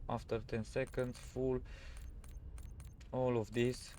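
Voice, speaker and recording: Speaking very slowly, a man has a non-native accent. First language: not English. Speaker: gaming youtuber. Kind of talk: tutorial. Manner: halting, many fillers.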